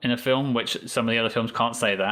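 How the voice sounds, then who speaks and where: Bright and sharp in tone, a man speaks with a southern English accent. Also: very clean recording, silent background. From England. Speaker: podcast guest, Star Trek fan. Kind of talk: casual interview chat.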